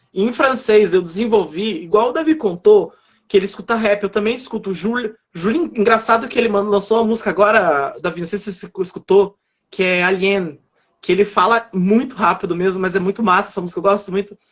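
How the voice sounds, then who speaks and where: A man talks at a fairly quick pace. His voice is high-pitched with ordinary pitch variation. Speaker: French teacher. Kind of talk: casual chat. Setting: livestream. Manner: fast.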